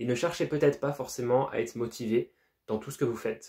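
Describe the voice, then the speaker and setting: The speaker is a man with a dark, mellow tone and medium pitch. His pitch variation is ordinary and his pace moderate. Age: young. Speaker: entrepreneur, self-improvement YouTuber. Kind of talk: casual talk to camera.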